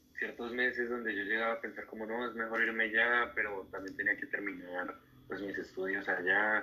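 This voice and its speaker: Flat, monotone intonation at a moderate pace, with noticeable background noise. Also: man. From Colombia, Cali. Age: 18. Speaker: student athlete, migrant. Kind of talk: interview.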